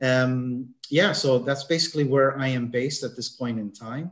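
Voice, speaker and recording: This man speaks with a Canadian accent at a moderate pace. His voice is somewhat breathy. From Canada. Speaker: mindset consultant. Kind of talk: interview. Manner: halting, many fillers.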